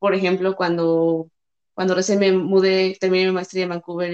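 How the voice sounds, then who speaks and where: A woman with a Mexican accent speaks at a fairly quick pace. Her pitch is medium. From Mexico. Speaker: engineer. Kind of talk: casual chat.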